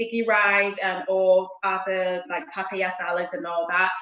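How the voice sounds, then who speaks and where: A woman with a Thai accent at a fairly slow pace. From Thailand, Bangkok. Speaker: chef. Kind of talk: cooking tutorial.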